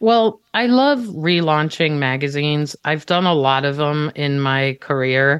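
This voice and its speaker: Speaking at a fairly slow pace yet with hardly any pauses, a woman uses lively intonation in a very deep, low pitch. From Israel. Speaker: music journalist and magazine editor. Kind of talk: casual interview.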